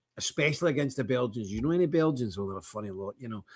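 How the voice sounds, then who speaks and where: In a Scottish accent, a man speaks at a medium pitch. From Scotland. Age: 60s. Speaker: online talk show host. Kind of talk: casual livestream chat reading viewer comments. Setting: office. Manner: animated.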